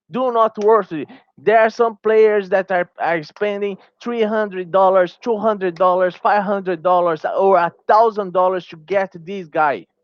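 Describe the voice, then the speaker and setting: This man has a high pitch and a Portuguese accent. His intonation stays fairly even. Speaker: gaming YouTuber. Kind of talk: opinion commentary video. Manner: halting, with many fillers.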